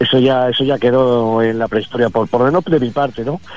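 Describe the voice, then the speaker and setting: Fairly quick speech from a man at medium pitch, fairly even in intonation, with noticeable background noise. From Spain, Madrid (Vallecas). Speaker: musician and author. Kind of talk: interview.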